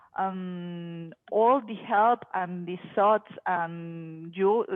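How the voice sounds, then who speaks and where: A woman of medium pitch speaks with a Spanish accent and ordinary pitch variation. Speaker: project management professional. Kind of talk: casual chat. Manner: halting.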